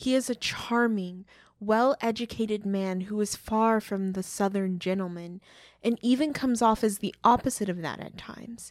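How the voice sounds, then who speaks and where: A woman with an American accent speaks in an ordinary speaking voice at a fairly high pitch, a moderate pace and ordinary pitch variation. The recording is very clean, with a silent background. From Oklahoma. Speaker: podcast co-host. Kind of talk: scripted podcast discussion.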